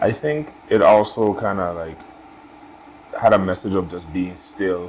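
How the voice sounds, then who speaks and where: With a Caribbean accent, a man speaks in a very deep, low pitch at a fairly slow pace, with long, frequent pauses and big swings in loudness. Audible room echo and noticeable background noise are present. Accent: Caribbean, compared to a West African artist. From US Virgin Islands, Saint Thomas. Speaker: artist. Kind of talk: casual chat.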